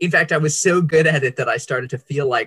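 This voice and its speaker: An ordinary speaking voice, delivered at a fairly quick pace. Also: man. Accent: American. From Indonesia (Java, Bandung), American family. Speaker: author and worship leader. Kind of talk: interview, personal testimony.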